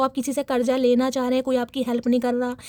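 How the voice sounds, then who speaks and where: A woman is recorded with a dry, close sound that has no echo. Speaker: tarot reader. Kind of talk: tarot reading.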